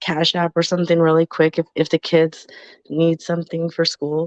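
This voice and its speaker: A woman speaks at a moderate pace with a fairly low pitch. The background is quiet, and the sound is dry and close, with no echo. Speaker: podcast co-host. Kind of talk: casual chat. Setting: live stream.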